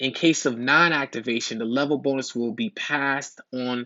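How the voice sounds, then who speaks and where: Animated in tone, a man talks at a moderate pace. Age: 40s. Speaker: business opportunity presenter. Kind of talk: sales pitch. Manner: halting, repeats words.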